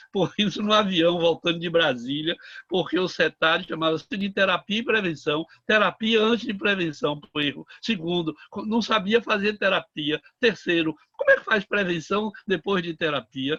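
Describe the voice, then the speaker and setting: A man speaks at a high pitch and a moderate pace, with ordinary pitch variation. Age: 70s. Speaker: psychiatrist, participant in discussion. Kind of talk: panel discussion, online round table. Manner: halting, many fillers.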